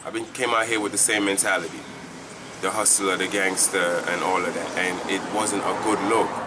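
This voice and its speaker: A man's fairly low, monotone voice with flat intonation at a moderate pace, plus noticeable background noise and audible room echo. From Jamaica. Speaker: church member giving testimony. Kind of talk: testimony. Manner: halting.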